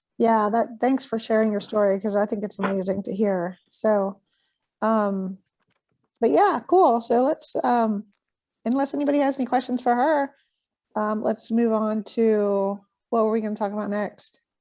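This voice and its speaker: A woman speaks quietly at a moderate pace, her fairly high voice dark and mellow in tone, with ordinary pitch variation. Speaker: fitness gym event host. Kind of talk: moderating video call. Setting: video call.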